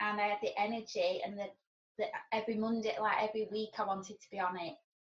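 A woman with a somewhat breathy voice of medium pitch talks at a moderate pace. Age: 40s. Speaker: sober blogger and weightlifting enthusiast. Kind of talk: casual interview.

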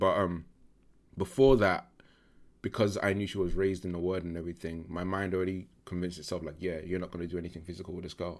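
A man with a London accent speaks very fast in a very deep, low voice with fairly even intonation. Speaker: podcast guest. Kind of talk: casual interview.

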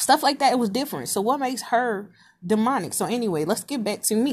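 Somewhat breathy, a woman speaks at a moderate pace with lively intonation in a very clean recording with a silent background. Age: 30s. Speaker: podcaster. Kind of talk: casual monologue. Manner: halting.

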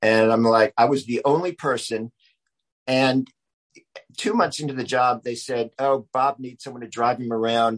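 A man with an American accent has an ordinary speaking voice at medium pitch, with fairly even intonation. He keeps a moderate pace, recorded dry and close with no echo. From US South, Charleston, South Carolina. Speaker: writer and filmmaker. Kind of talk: interview conversation.

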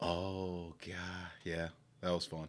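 Very deep and low in pitch, a man talks with an American accent. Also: very clean recording, silent background. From Milwaukee, Wisconsin. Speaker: financial advisor, former college football player. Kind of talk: casual chat. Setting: at host's home, in person.

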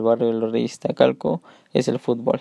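The speech is fairly slow. The voice belongs to a man. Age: 20s. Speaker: sports coach. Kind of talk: solo podcast talk. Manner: halting.

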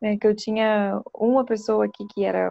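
A woman's ordinary speaking voice at medium pitch, with ordinary pitch variation and a moderate pace. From Espírito Santo, Brazil (Vitória). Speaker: clinical psychologist. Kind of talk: interview talk.

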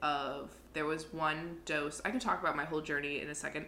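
The speaker is a woman. Her voice is very deep and low in pitch. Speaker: podcast co-host. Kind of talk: casual chat. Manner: profane, animated.

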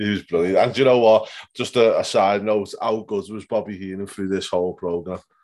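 Here a man has an unremarkable speaking voice, fairly low in pitch with fairly even intonation. He moves at a fairly quick pace against a quiet background. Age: 30s. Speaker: wrestling podcast host. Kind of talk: casual chat. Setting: home bedroom.

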